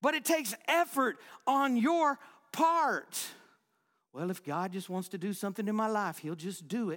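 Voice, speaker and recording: Animated tone, very wide pitch swings, and a very clean recording with a silent background. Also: man, high pitch for a man, moderate pace. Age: 40s. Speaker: pastor. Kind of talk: sermon, warm and story-led, laughing, then firm exhortation and closing prayer. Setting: church.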